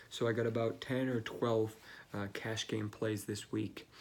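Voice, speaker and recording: Quiet and fairly slow, a man talks at a fairly low pitch. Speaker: fantasy football analyst. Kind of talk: casual video commentary. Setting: office. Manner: hesitant, many fillers.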